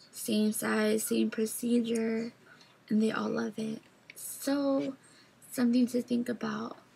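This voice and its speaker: Speech moves at a very slow pace with long, frequent pauses and fairly even intonation. Noticeable background noise runs underneath. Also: woman, fairly high pitch for a woman. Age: 20s. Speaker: vlogger. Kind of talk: video diary. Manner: casual.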